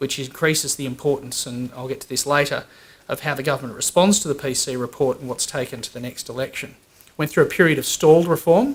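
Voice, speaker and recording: Talking at a very fast pace, a man with an Australian accent uses a fairly high pitch and big swings in loudness. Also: ordinary pitch variation. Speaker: employer association executive. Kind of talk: conference talk. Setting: conference with audience.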